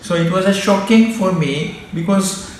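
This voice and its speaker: Moderate-paced male speech with ordinary pitch variation, plus audible room echo and noticeable background noise. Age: 60s. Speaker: doctor. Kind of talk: personal testimony. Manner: halting.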